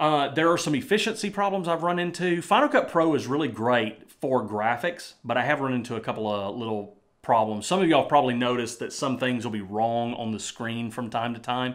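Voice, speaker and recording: Lively in intonation and fairly quick, a man of medium pitch talks in an ordinary speaking voice with hardly any pauses, in a very clean recording with a silent background. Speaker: YouTuber and Bible teacher. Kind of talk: casual vlog talk. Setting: home studio.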